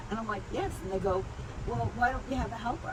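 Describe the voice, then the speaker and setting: Noticeable background noise runs beneath speech with lively intonation. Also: woman. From Ireland. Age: 80s+. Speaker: clinical psychologist and trauma specialist. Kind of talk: interview answer.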